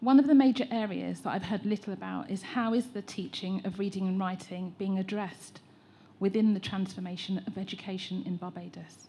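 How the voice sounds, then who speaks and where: A woman with an English accent, medium-pitched, at a fairly quick pace with fairly even intonation. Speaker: teacher trainer. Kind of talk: public consultation comment.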